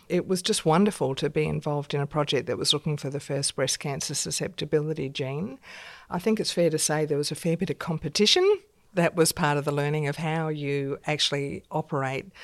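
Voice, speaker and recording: A woman with an Australian accent and a very deep, low pitch speaks at a fairly quick pace with fairly even intonation, in a very clean recording with a silent background. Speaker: science professor and dean. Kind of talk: interview.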